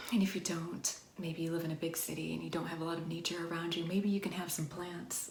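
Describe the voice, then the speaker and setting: A woman with a fairly low voice speaks in a gentle, warm tone. Her intonation is monotone and flat, and background noise is noticeable. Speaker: wellness and ASMR video creator. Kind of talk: ASMR-style soft-spoken talk to camera. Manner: gentle, warm, slow, reassuring.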